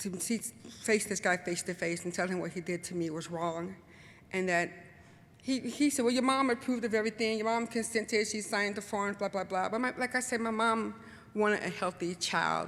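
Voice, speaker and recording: Using ordinary pitch variation, a woman with an American accent talks at a medium pitch. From Chicago, US Midwest. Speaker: intersex activist, speaker. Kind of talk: personal testimony talk. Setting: symposium with audience. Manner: fast; animated.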